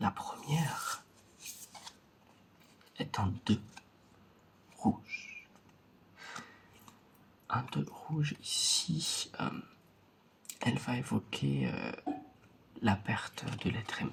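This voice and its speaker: Long, frequent pauses break up this man's very slow speech. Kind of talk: ASMR roleplay card reading, soft close-up talk to the viewer. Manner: soft-spoken, slow.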